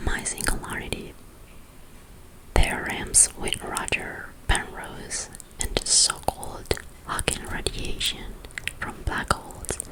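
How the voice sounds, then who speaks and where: A woman's whisper at a very slow pace, with long, frequent pauses and noticeable background noise. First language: Spanish. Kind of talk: ASMR whispered book reading. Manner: soft, whispered.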